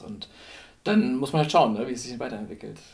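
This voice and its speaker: A man's flat, monotone delivery at a fairly quick pace, with audible room echo. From northern Germany (Lower Saxony). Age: 30s. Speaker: blind date participant, designer and photographer. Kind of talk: casual chat. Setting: at the host's home.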